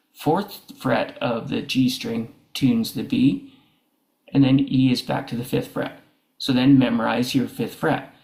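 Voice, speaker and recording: A man speaks at a fairly slow pace in a somewhat breathy voice. His pitch is fairly high, with ordinary variation. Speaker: guitar teacher. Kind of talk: tutorial.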